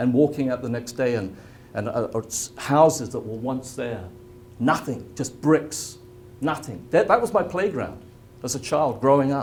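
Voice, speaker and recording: A man speaks with an English accent at a moderate pace. His pitch is medium, with ordinary variation. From England. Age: 70s. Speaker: spiritual healing presenter. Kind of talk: presentation to a live audience.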